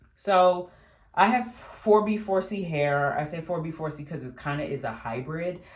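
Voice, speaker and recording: A woman with a somewhat breathy voice speaks at a moderate pace with lively intonation. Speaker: beauty vlogger. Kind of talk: casual talk to camera. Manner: casual, with pauses and fillers.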